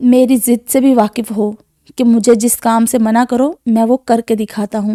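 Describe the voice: Plain reading aloud with fairly even intonation in a quiet background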